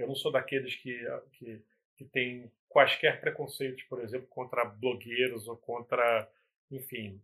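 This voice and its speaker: A man's medium-pitched voice with a bright, sharp tone, flat monotone intonation, big swings in loudness and a fairly slow pace. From Brazil, Nova Iguaçu (Baixada Fluminense, Rio de Janeiro). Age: 40s. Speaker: music photographer. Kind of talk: casual interview chat. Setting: live stream video call.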